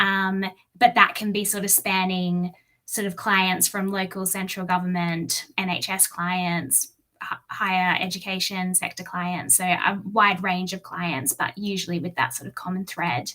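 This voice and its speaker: A woman's medium-pitched voice with an Australian accent, fairly even in intonation and fairly slow in pace. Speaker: engineer and infrastructure advisor. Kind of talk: webinar talk. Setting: online webinar.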